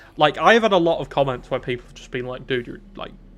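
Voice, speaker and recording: Here a man speaks with a British accent. His pitch is fairly high. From UK. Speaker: gaming streamer. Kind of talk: casual live-stream chat.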